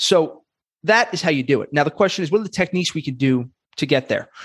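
The speaker talks with a New York accent and lively intonation. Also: man. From Brooklyn, New York. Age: 30s. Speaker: podcast host and comedian. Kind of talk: casual interview.

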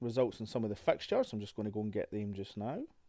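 A man with a Scottish accent and fairly even intonation. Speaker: football podcast host. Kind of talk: solo podcast review.

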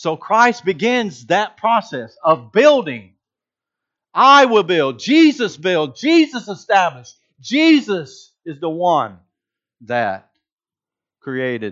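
Long, frequent pauses break up the very slow speech of a high-pitched man with a Georgia accent and very wide pitch swings. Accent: Southern (Georgia), noticeable. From Georgia (US South). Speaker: preacher. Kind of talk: sermon. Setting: church.

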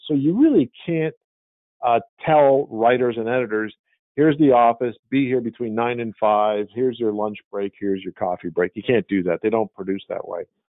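An ordinary speaking voice with ordinary pitch variation moves at a moderate pace. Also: man, medium pitch for a man. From Montreal, Canada. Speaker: media company owner. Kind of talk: interview. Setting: video call.

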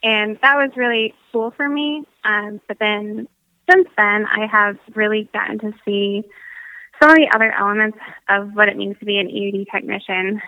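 Someone speaks at a moderate pace in a normal speaking voice, with an American accent. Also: woman, fairly high pitch for a woman, ordinary pitch variation. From Michigan. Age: 20s. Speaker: Air Force veteran, nonprofit coordinator. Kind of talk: casual interview.

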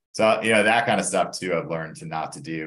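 A man's bright, sharp tone with audible room echo. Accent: American. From Atlanta, Georgia, US South. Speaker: coaching client, lawyer. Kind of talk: interview.

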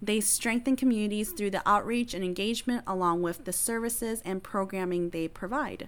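A normal speaking voice at a fairly quick pace, with hardly any pauses. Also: woman, medium pitch for a woman, ordinary pitch variation. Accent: American. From Wisconsin (Appleton), Hmong family. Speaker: librarian and podcast host. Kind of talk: casual self-introduction.

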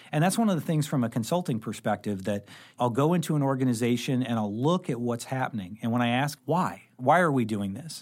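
In an unremarkable speaking voice with an American accent, a man talks at a medium pitch and fairly quick pace, with hardly any pauses. The recording is very clean, with a silent background. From Southern Illinois (Carbondale). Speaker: accounting firm partner and advisory director. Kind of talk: interview conversation. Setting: studio.

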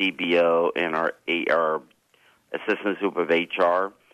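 In an American accent, a man with a very deep, low pitch speaks with fairly even intonation, the sound dry and close with no echo over a quiet background. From Southern California, El Monte. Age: 50s. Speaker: school district administrator. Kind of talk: radio interview.

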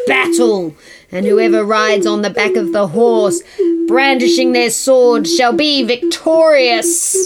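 Reading aloud in a natural voice is what this recording holds.

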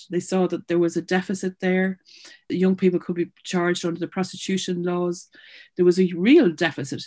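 A woman with an Irish accent talks at a fairly quick pace in a dark, mellow tone. Her intonation is monotone and flat, against a quiet background. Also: fairly low pitch for a woman. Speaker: charity founder and CEO. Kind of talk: interview.

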